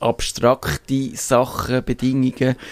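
Speaking with a Swiss accent, a man talks very slowly at medium pitch. The sound is dry and close, with no echo. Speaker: radio host. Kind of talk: casual chat. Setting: studio.

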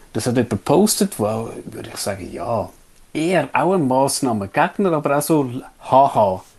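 With a Swiss accent, a man speaks at a medium pitch, swinging his pitch very widely. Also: moderate pace. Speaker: podcast co-host. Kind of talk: casual chat.

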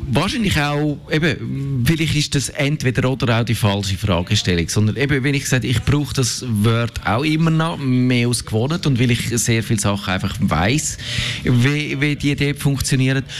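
With a Swiss accent, a man of medium pitch talks at a moderate pace with ordinary pitch variation and very even loudness over noticeable background noise. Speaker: tech journalist. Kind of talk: casual chat.

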